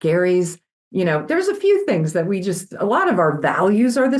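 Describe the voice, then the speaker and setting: Speaking at a moderate pace, a woman shows very wide pitch swings and vocal fry. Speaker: company CEO. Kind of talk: interview. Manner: loud and energetic; animated.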